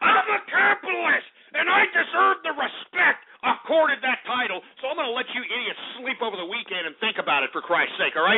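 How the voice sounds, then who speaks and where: Loud and extremely high-pitched, a man with an American accent talks at a fairly quick pace with very wide pitch swings over noticeable background noise. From Texas. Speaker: talk radio host. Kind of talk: talk radio monologue. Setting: studio. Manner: animated.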